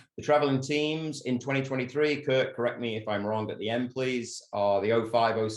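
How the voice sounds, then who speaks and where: This man speaks with an English accent. His voice sits at a medium pitch. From England. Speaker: soccer coach. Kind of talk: presentation. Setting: video call.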